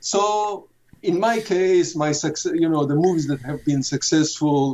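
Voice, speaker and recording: Ordinary pitch variation at a moderate pace from a man with a high-pitched voice. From Israel, Jerusalem. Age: 70s. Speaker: film director. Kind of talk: interview. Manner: halting, many fillers and repetitions.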